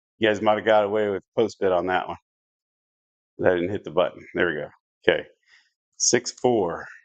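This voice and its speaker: With an American accent, the speaker moves at a moderate pace with fairly even intonation and long, frequent pauses. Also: man, fairly low pitch for a man. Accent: Southern US, stronger than usual right now. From US South. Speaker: live-stream craps game host. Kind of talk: live game-play commentary. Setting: home live stream. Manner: casual, conversational.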